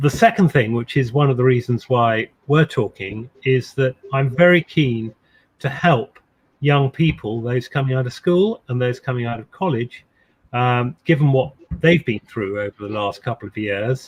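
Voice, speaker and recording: In a dry, close sound with no echo, a man speaks at medium pitch and a moderate pace. His voice is somewhat breathy, with ordinary pitch variation. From England, Suffolk (west). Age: 60s. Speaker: ceremonial official and insurance executive. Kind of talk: interview. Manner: halting with fillers and repetitions.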